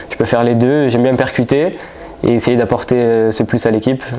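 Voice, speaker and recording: Noticeable background noise sits behind a man speaking at a fairly quick pace. His voice is medium in pitch with fairly even intonation. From France, Marseille. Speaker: footballer. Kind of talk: press conference. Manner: halting.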